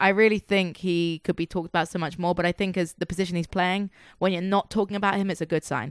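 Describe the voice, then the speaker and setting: Very fast, fairly low-pitched speech from a woman with an English accent, fairly even in intonation, dry and close with no echo on a very clean recording with a silent background. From England. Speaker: soccer podcast co-host. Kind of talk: casual chat. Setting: home living room studio.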